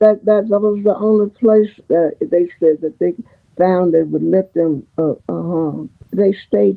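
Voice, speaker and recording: Over music in the background, a woman with a Southern US accent speaks at a very slow pace and a medium pitch, with ordinary pitch variation. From Memphis, Tennessee. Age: 80s+. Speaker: retired schoolteacher. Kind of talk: interview answer. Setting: video call.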